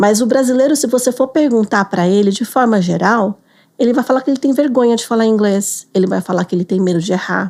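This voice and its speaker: A woman talks fairly quickly in a normal speaking voice, her pitch varying an ordinary amount. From Brazil. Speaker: business English teacher. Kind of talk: interview.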